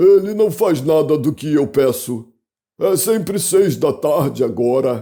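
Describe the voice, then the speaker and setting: Using a put-on character voice, a man speaks at a fairly slow pace with a fairly high pitch and lively intonation. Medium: read story.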